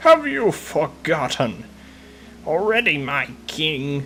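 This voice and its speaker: A man puts on a character voice while clear background noise plays behind him. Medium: solo performance. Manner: haughty, scornful.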